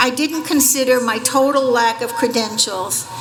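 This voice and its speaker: A high-pitched woman with an American accent, plus noticeable background noise and audible room echo. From Staten Island, New York. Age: 70s. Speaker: former journalist, honorary degree recipient. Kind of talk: commencement acceptance speech.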